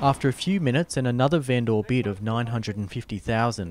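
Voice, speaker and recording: With an Australian accent, a man speaks at a medium pitch and moderate pace, using ordinary pitch variation. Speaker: reporter. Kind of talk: scripted narration.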